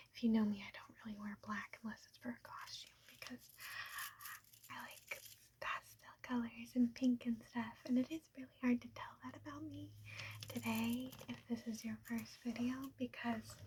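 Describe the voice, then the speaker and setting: A soft-spoken woman talks at a moderate pace. Her loudness swings a lot. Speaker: ASMR creator. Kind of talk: casual talk to camera. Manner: soft-spoken, rambling.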